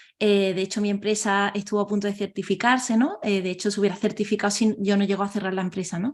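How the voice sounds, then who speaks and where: Very fast and with hardly any pauses, a woman speaks in a flat monotone. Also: medium pitch for a woman. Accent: southern Spanish. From southern Spain. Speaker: organizational transformation consultant. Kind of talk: interview. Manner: hesitant, many fillers.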